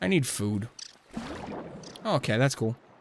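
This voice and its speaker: Against noticeable background noise, a man speaks at a fairly slow pace and a medium pitch. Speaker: gaming streamer. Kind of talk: gameplay commentary. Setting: live stream. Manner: casual, chatty.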